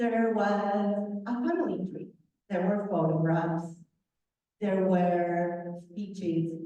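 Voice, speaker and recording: A woman with a dark, mellow tone and medium pitch speaks very slowly with fairly even intonation, with audible room echo. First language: not English. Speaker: author, guest speaker. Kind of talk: talk to a club meeting.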